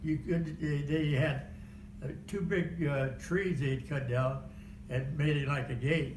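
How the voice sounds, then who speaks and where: In an American accent, a man with a fairly high pitch and vocal fry speaks fairly slowly amid audible room echo. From Kansas. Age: 90s. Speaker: war veteran. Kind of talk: oral history interview. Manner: halting.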